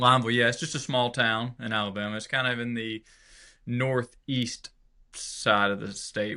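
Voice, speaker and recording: This man's tone is bright and sharp, with a medium pitch and monotone, flat intonation. He talks at a fairly quick pace. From Georgia, US South. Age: 30s. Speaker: country musician. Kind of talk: interview. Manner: casual, hesitant with fillers.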